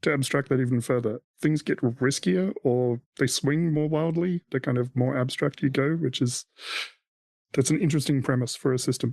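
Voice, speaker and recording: An Australian accent at very even loudness, in a dry, close sound with no echo and a quiet background. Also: man, medium pitch for a man, ordinary pitch variation, moderate pace. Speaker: podcast host. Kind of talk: casual chat.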